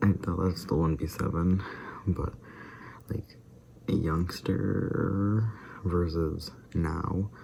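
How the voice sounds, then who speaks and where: The speech moves at a very slow pace with long, frequent pauses. Music plays in the background. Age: young adult. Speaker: YouTuber doing a daily vlog challenge. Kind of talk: casual vlog monologue.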